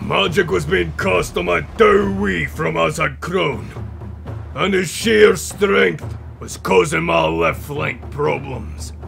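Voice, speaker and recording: Over clear background noise, a man puts on a character voice, very deep and low in pitch, at a fairly slow pace. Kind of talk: epic war-tale narration. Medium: machinima. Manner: proud, gruff storytelling.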